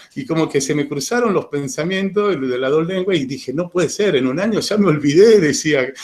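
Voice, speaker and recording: This man's voice sits high in pitch and moves with lively intonation. He keeps a moderate pace. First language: Italian (speaking Spanish). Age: 40s. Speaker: witness giving testimony. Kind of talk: personal testimony to students. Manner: hesitant, many repetitions.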